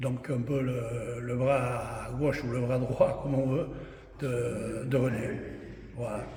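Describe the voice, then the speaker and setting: Over noticeable background noise and audible room echo, a man speaks very slowly at medium pitch in a monotone, flat way. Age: 70s. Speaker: former rugby club official. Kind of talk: interview testimony. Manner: halting.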